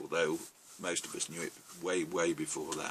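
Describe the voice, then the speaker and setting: Noticeable background noise sits behind a man speaking with an English accent. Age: 70s. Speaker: novelist. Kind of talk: monologue. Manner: halting, frequent ums.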